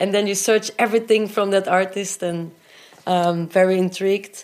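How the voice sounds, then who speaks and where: Moving at a moderate pace, a female speaker keeps her intonation fairly even. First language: not English. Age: 30s. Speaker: rock drummer and singer. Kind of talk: interview, personal storytelling. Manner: hesitant, frequent fillers.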